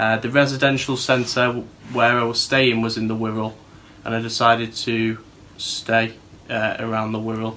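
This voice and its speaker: A man with a Manchester accent talks at a moderate pace and medium pitch, his intonation monotone and flat, with noticeable background noise. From Manchester, northern England. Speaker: TV show presenter, former rehab resident. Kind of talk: personal testimony. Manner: hesitant, with fillers and repetitions.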